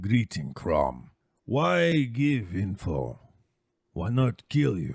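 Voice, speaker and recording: A man speaks at a very slow pace in a put-on character voice. It is very deep and low, yet it makes very wide pitch swings. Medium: actual play. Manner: broken, clipped speech.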